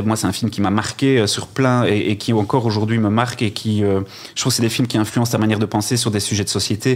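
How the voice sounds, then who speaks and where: Fairly quick, monotone speech from a man with a fairly low pitch and flat intonation. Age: 40s. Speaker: cinema director. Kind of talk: casual interview.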